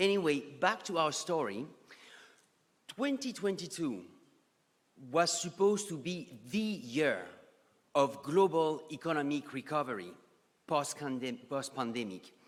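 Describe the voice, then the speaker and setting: In a strong French accent, a man with a fairly high pitch talks at a fairly slow pace, with very wide pitch swings and long, frequent pauses. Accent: thick French. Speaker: economist and geopolitical strategist. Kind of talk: conference presentation. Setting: conference stage with audience.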